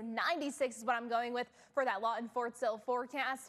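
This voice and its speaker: Her pitch high, a woman speaks with fairly even intonation. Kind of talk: weather forecast presentation. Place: studio. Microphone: lapel.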